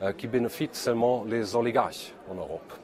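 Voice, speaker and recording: At a fairly slow pace, a man talks with a medium pitch. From Germany. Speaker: politician. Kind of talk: video message of support. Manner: halting.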